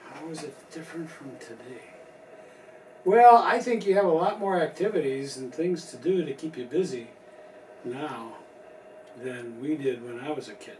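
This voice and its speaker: Against noticeable background noise, a man with an American accent and a fairly high pitch uses lively intonation at a moderate pace, with long, frequent pauses and big swings in loudness. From US Midwest, Chicago. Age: 70s. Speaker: grandfather being interviewed. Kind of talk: family interview.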